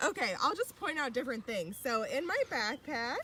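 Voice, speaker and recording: A woman speaks loudly in an upbeat tone. Her voice has a bright, sharp tone. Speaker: youth program leader. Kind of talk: live outdoor tutorial. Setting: outdoors in a park.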